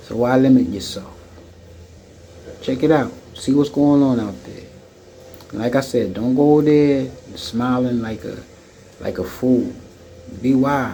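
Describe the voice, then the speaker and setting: With an American accent, a man talks at a fairly slow pace and medium pitch, leaving long, frequent pauses, his loudness swinging widely and his pitch varying in an ordinary way, with audible room echo around him. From United States. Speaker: video blogger and expat. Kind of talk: monologue commentary. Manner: halting, many fillers.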